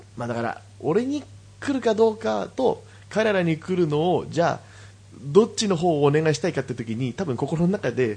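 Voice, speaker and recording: A man's dark, mellow voice at a fairly high pitch and moderate pace, with very wide pitch swings and big swings in loudness over a quiet background. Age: 20s. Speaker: podcast co-host. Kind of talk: casual chat.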